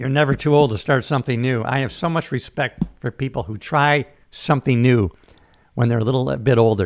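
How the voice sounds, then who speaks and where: Medium-pitched male voice, fairly quick, with ordinary pitch variation and a very clean recording over a silent background. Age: 60s. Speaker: livestream host. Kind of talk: casual chat. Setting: live stream. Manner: fast.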